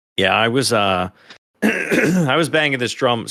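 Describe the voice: In a put-on character voice, a man sounds raspy and hoarse at medium pitch. He talks at a fairly slow pace with lively intonation.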